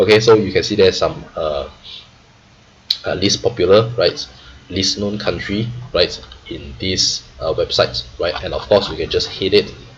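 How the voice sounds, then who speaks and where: Fairly slow speech from a man over noticeable background noise. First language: not English. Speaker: trader and finance YouTuber. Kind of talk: tutorial. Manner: frequent fillers and 'right?' tags.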